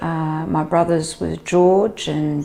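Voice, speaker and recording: Noticeable background noise surrounds a woman with a very deep, low voice. She speaks very slowly, yet her intonation is lively. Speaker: family member interviewee. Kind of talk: personal testimony.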